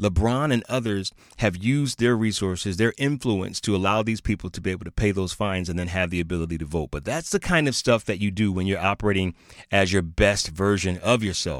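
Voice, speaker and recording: A man's animated, fairly low voice at a fairly quick pace, with ordinary pitch variation and a dry, close sound free of echo. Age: 50s. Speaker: podcast host, leadership coach. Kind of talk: motivational talk.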